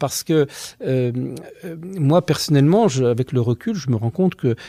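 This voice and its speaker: A man speaks with a dark, mellow tone, fairly high in pitch, somewhat breathy and with lively intonation. The recording is very clean, dry and close, with a silent background and no echo. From France, Savoie (Albertville). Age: 50s. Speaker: teacher and former friar giving testimony. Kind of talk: testimony interview. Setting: office at a high school. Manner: hesitant, many fillers.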